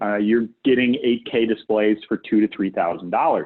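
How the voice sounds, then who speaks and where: A man's fairly low voice with an American accent at a moderate pace. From United States. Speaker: guest presenter on AV fiber optics. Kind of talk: webinar presentation. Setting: online webinar. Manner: conversational, frequent fillers like okay and right.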